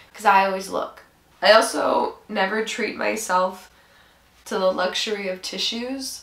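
At a fairly slow pace, a woman speaks with audible room echo around her. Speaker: vlogger. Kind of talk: casual vlog chat. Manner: congested, stuffy-nosed sick voice. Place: home room. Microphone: camera far.

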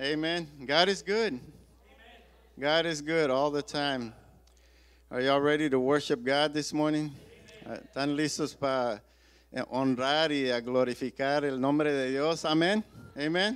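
Speaking at a fairly slow pace, a man uses ordinary pitch variation and leaves long, frequent pauses. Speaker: pastor leading service. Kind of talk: sermon. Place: church. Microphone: handheld.

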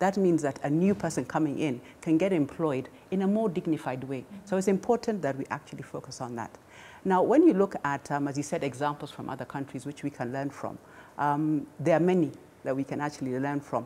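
Fairly quick speech from a woman with a very deep, low pitch, a dark, mellow tone and lively intonation. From Kenya. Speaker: government small business advisor; panelist. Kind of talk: panel discussion. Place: studio. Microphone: lapel.

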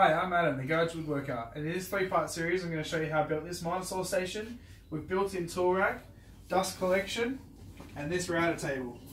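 With light background noise and audible room echo, a man with a high pitch talks at a fairly quick pace and ordinary pitch variation. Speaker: home woodworker channel host. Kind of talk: tutorial intro. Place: garage. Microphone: camera far.

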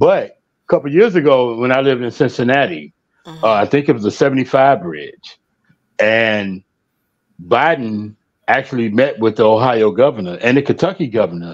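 Over a quiet background, a man with an unremarkable speaking voice talks at a moderate pace and medium pitch, his intonation lively. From Chicago. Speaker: guest panelist; guest. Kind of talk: casual panel discussion. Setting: video call livestream. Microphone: video call.

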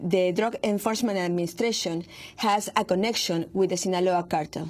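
On a very clean recording with a silent background, a woman speaks at a medium pitch with a Spanish accent. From Mexico. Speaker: investigative journalist. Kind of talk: interview. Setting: studio. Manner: halting, many fillers and repetitions.

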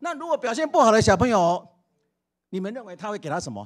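Against a quiet background, a man with a high voice speaks with very wide pitch swings. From Taiwan. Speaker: school principal. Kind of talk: interview. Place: hall. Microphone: handheld.

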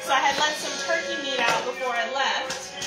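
A woman speaking at a fairly quick pace, with music in the background. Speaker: home cook livestreamer. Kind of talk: casual vlog chat. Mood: cheerful, warm. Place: kitchen. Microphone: phone near.

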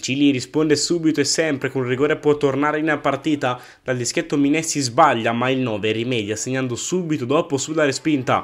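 With a normal speaking voice, a man talks at a fairly quick pace, his fairly high pitch held in fairly even intonation. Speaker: match commentator. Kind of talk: sports commentary. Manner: brisk, clipped match-report recap.

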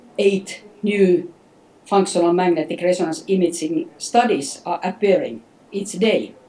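A woman at a fairly slow pace with ordinary pitch variation. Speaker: interviewee. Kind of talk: interview answer. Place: home room. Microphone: video call.

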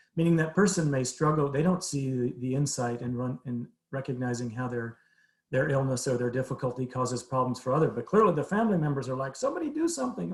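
Very fast delivery with very wide pitch swings. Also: man. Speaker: behavioral health presenter. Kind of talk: presentation to city council.

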